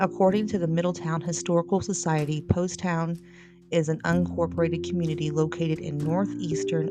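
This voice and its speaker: A woman speaks at a moderate pace with an American accent. Music plays in the background. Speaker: paranormal podcaster. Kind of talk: podcast history narration. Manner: casual.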